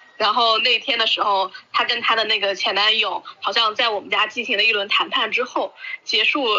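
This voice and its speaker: Fairly high female speech at an average tempo, with usual pitch changes over audible background noise. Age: 30s. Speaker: video maker. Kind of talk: casual chat.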